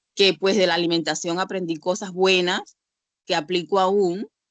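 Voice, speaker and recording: A woman with an animated tone at a moderate pace, in a dry, close sound with no echo. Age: 60s. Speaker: church member sharing experience. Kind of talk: testimony.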